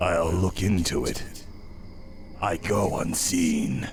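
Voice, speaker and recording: A man talks at a very slow pace in a put-on character voice with a very deep, low pitch. Clear background noise runs underneath. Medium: video game. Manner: secretive.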